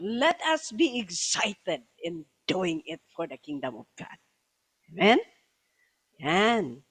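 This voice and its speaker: A woman with a Filipino accent, medium-pitched, at a very slow pace, with very wide pitch swings and long, frequent pauses. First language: Tagalog. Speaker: bishop preacher. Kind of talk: sermon. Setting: church service, also streamed online. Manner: code-switching Tagalog and English.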